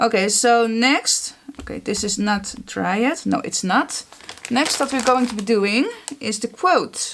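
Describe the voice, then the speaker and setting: Through noticeable background noise, a woman speaks at a fairly slow pace. Her fairly high voice shows ordinary pitch variation. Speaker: art journaling creator. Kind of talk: tutorial. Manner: casual, chatty with filler words.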